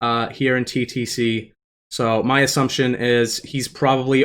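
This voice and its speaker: A man's medium-pitched, bright, sharp voice at a moderate pace, with monotone, flat intonation on a very clean recording with a silent background. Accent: Boston. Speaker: speedrun race commentator. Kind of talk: live commentary. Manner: casual, conversational.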